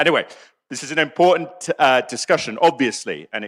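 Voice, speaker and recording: With a British accent, a man speaks very fast in a bright, sharp tone, the sound dry and close with no echo. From England. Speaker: debate moderator, foreign policy writer. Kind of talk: moderating a debate. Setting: stage with audience. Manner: hesitant, many fillers.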